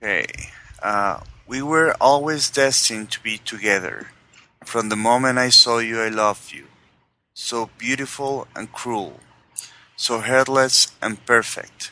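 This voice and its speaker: A man speaks at a medium pitch with a bright, sharp tone and fairly even intonation. His pace is fairly slow, with long, frequent pauses and big swings in loudness. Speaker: tabletop game player. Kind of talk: in-character villain roleplay, dramatic monologue reading. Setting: online call session.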